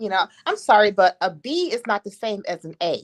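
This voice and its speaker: A woman speaks at a moderate pace in an animated tone, with ordinary pitch variation. The recording is very clean with a silent background, and the sound is dry and close with no echo. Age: 60s. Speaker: co-host on a live discussion stream. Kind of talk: casual chat.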